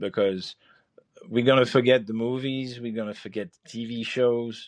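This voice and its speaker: At a moderate pace, the speaker keeps a fairly even intonation. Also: man. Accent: French. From France. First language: French. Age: 50s. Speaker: chef and podcast host. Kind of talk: podcast monologue. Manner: halting, many fillers and repeats.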